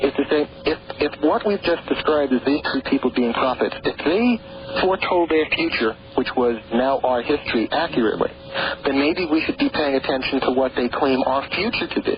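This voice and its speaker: Despite noticeable background noise, a man with an American accent and fairly high pitch uses lively intonation while keeping his loudness very even. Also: moderate pace. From New York. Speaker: author on prophecy and the Great Pyramid. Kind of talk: radio interview. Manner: halting, many repeated words.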